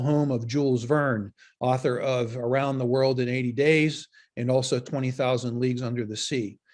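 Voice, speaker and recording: The speaker uses fairly even intonation with a Pittsburgh accent. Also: man. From Western Pennsylvania. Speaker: wine educator. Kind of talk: lecture.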